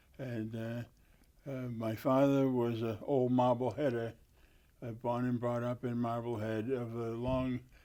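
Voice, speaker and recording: Speaking in a Boston accent, a man talks at a fairly slow pace with a medium pitch. His tone is dark and mellow, and his intonation monotone and flat. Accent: Boston-area New England. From Massachusetts, Lynn (North Shore). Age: 80s+. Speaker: war veteran. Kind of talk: oral history interview. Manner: halting, many fillers.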